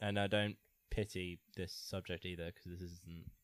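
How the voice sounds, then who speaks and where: Very deep and low in pitch, a man with an English accent speaks with monotone, flat intonation in a very clean recording with a silent background. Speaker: podcast co-host. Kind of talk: casual chat.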